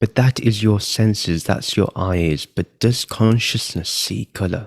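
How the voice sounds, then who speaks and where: In a dry, close sound with no echo, a man with a normal speaking voice and fairly low pitch talks at a fairly slow pace. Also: ordinary pitch variation. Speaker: meditation guide. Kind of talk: guided meditation. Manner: slow, calm.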